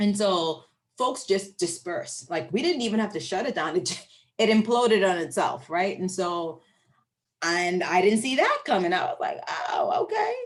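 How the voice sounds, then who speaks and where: With a Bahamian accent, a woman speaks at a moderate pace in a medium pitch, her tone animated and her intonation lively. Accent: noticeable Bahamian. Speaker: professor. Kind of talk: Q&A after lecture.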